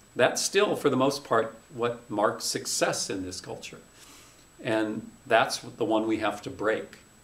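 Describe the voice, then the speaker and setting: Audible room echo surrounds a man of medium pitch who speaks at a fairly slow pace with ordinary pitch variation. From North Dakota. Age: 50s. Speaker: journalism professor. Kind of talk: interview conversation.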